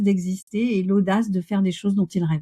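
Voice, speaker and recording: A woman speaks at a medium pitch in a somewhat breathy voice with a dark, mellow tone. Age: 60s. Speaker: coach and Gestalt therapist. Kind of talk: interview conversation. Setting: podcast interview.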